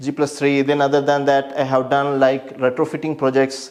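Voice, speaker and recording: This man speaks with a Keralan accent at a fairly high pitch. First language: Malayalam. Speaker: structural engineer. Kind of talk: self-presentation, portfolio walkthrough. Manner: halting.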